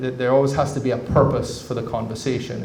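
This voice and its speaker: Noticeable background noise and audible room echo around a man's medium-pitched voice. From Cayman Islands. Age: 40s. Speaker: government representative. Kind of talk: public talk. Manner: halting, with many repeated words.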